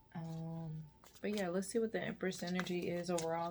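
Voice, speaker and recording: A woman speaks at a fairly low pitch. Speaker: tarot reader. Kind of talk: tarot reading. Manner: laid-back.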